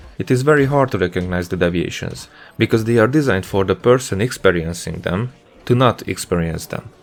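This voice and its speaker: Over music in the background, someone with a non-native accent talks at a fairly quick pace with lively intonation. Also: man, fairly low pitch for a man. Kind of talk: educational commentary over gameplay. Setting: home studio microphone.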